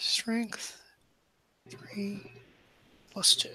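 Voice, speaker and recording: Someone whispers and mumbles at a very slow pace over noticeable background noise. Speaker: roleplaying game player. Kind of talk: tabletop roleplaying game session.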